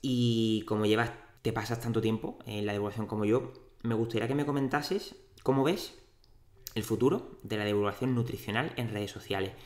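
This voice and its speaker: In an Andalusian accent, a man talks at medium pitch. He keeps a moderate pace with ordinary pitch variation. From Andalusia, Cádiz city. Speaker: dietitian and podcast host. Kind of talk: interview. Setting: in-person studio at clinic.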